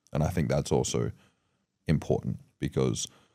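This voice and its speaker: A man speaks with a very deep, low pitch. His tone is dark and mellow, with vocal fry. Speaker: podcast host. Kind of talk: casual interview chat. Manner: fast.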